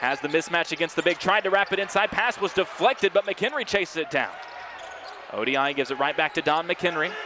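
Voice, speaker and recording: There is noticeable background noise. A man talks at a fairly quick pace with ordinary pitch variation. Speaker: play-by-play sports commentator. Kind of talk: live commentary. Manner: fast.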